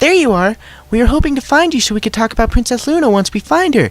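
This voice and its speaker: A man in a put-on character voice speaks very fast at an extremely high pitch. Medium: read story. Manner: loud, bouncy.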